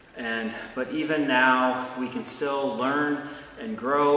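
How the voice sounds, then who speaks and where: Here a man speaks at a very slow pace. Audible room echo surrounds the voice. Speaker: pastor. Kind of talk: blessing and fervent prayer, pastoral address. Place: church.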